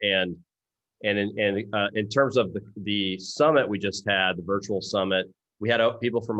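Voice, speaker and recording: A man with an American accent speaks at a fairly quick pace. His pitch sits fairly low and his intonation stays fairly even. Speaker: open source foundation leader. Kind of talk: Q&A discussion.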